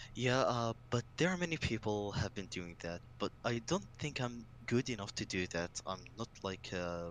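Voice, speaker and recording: Hardly pausing at all, a man of medium pitch speaks at a fairly slow pace with ordinary pitch variation. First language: Arabic. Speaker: gaming fan community member. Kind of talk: casual chat.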